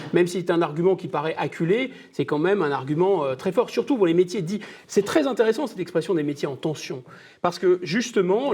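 Talking at a fairly quick pace, a high-pitched man uses lively intonation. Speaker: essayist and political commentator. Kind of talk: panel debate.

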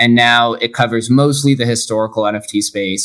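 In a very clean recording with a silent background, a man with an American accent uses an ordinary speaking voice at a medium pitch, a moderate pace and fairly even intonation. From Las Vegas, Nevada. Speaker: podcaster and entrepreneur. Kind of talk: interview.

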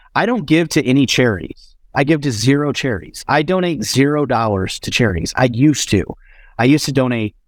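A man with an ordinary speaking voice moves at a fairly quick pace and lively intonation, captured in a very clean recording against a silent background. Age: 40s. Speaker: entrepreneur, marketing agency founder. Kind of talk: podcast interview.

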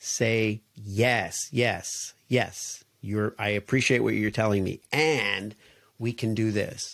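In a very clean recording with a silent background, a man speaks at a fairly low pitch with a plain, everyday voice and a dry, close sound with no echo. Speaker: podcast host. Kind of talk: solo podcast monologue, ending in a mock pitchman promo. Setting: solo recording. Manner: warm, conversational, playful; sing-song, rhythmic sales-pitch patter with repeated 'yes, friend' tag lines.

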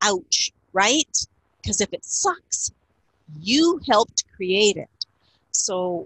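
Speaking at a very slow pace in a Canadian accent, a woman uses a medium pitch with very wide swings in it. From Canada, Niagara region of Ontario. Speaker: communication expert and author. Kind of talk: interview.

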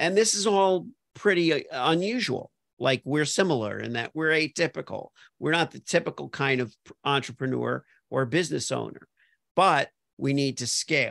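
The background is quiet, and the sound is dry and close with no echo. A man with an American accent and a plain, everyday voice speaks with fairly high pitch and lively intonation. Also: moderate pace. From Miami Beach, Florida. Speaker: podcast host, copywriter. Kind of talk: casual interview chat.

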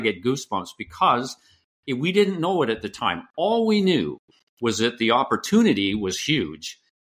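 Speaking with a Canadian accent, a man has a bright, sharp tone and lively intonation at a fairly quick pace. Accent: Canadian lilt. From western Canada, British Columbia. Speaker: author and former business executive. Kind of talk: interview. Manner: energetic.

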